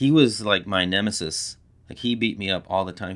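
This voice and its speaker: This man has an American accent and a very deep, low pitch. His pitch varies in an ordinary way. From Texas, Corpus Christi. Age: 40s. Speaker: college teacher and jiu-jitsu practitioner. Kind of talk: casual chat.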